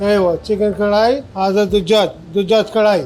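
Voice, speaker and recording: A high-pitched male voice at a moderate pace over noticeable background noise. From Pakistan. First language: Urdu (speaking Arabic). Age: 60s. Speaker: restaurant owner. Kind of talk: casual interview. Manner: halting.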